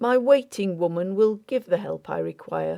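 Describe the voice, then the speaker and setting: A woman's put-on character voice at medium pitch and moderate pace. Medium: read story. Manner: quiet, faint, few words.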